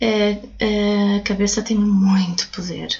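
A woman's voice over noticeable background noise. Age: 30s. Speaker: crystal therapist and author. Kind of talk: casual interview. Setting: recorded in a crystal shop.

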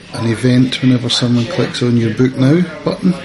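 A man's medium-pitched voice, varying in pitch in an ordinary way, is heard against noticeable background noise. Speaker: podcast co-host. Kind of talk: casual chat, podcast.

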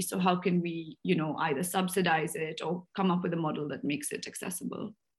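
A woman's somewhat breathy voice, fairly low in pitch, at a fairly quick pace. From India, Bangalore. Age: 20s. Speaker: entrepreneur. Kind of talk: interview. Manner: animated.

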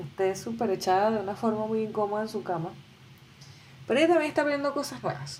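A woman with a fairly high pitch talks very fast in an animated tone, her pitch swinging very widely, with long, frequent pauses and noticeable background noise. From Venezuela. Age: 20s. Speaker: podcaster. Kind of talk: solo podcast monologue.

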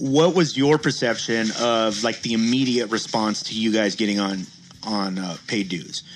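In a plain, everyday voice, a man speaks at medium pitch and a moderate pace, with ordinary pitch variation. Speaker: co-host. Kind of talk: casual podcast banter.

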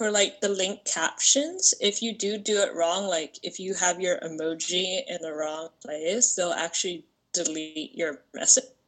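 In a plain, everyday voice, a woman speaks at a fairly slow pace. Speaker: part-time stripper and online creator. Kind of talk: casual chat.

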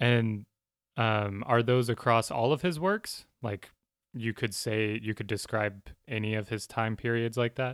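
A man with an American accent, medium in pitch with ordinary variation, at a fairly slow pace, an unremarkable speaking voice in a dry, close sound with no echo on a very clean recording with a silent background. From US. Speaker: podcast co-host. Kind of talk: casual chat.

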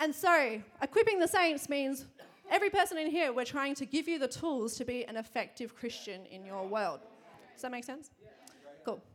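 A woman with an Australian accent and a high pitch, animated in tone, at a moderate pace, with very wide pitch swings and big swings in loudness. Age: 20s. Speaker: church preacher. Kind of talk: sermon. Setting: church.

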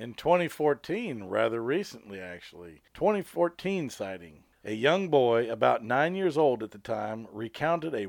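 Using a normal speaking voice, a man with an American accent talks at a moderate pace with lively intonation. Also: very clean recording, silent background. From Colorado. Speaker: podcast co-host, paranormal investigator. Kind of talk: casual chat; reading aloud.

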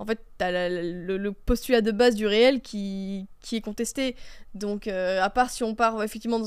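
Her intonation staying fairly level, a woman talks at a fairly high pitch. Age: 20s. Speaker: right-wing debater. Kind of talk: heated debate. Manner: halting, many repetitions.

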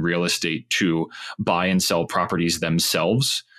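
An American accent shapes this man's bright, sharp tone. He speaks at a moderate pace with fairly even intonation. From Pittsburgh, Pennsylvania. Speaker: tech startup founder. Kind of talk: casual interview.

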